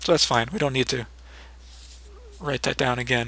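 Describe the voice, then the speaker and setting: At a fairly quick pace, the voice sounds bright and sharp, with ordinary pitch variation. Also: man. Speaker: 3D animation tutorial maker. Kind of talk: tutorial. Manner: casual, with hesitations.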